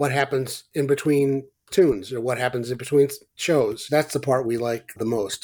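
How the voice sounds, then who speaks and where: On a very clean recording with a silent background, a man with an unremarkable speaking voice talks at a moderate pace with medium pitch and fairly even intonation. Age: 60s. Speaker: psychotherapist and former bass player. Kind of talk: casual interview conversation.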